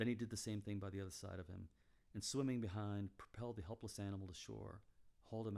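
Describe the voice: Fairly even intonation in plain reading aloud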